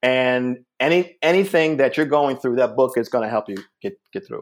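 A man with a fairly high pitch and an unremarkable speaking voice talks at a fairly quick pace with ordinary pitch variation. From US Northeast, Springfield, Massachusetts. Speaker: comedian. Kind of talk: casual chat.

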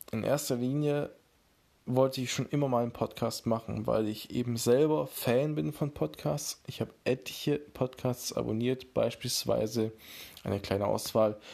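In a very clean recording against a silent background, a man with a dark, mellow tone speaks at a medium pitch and a moderate pace, his pitch moving in an ordinary way. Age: 20s. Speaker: podcast host and beat producer. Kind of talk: casual solo podcast intro.

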